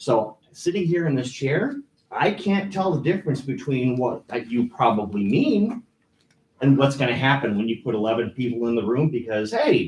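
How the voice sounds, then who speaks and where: Somewhat breathy, a man speaks at a medium pitch. His intonation is lively. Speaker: resident giving public comment. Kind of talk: public comment at council meeting. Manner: fast.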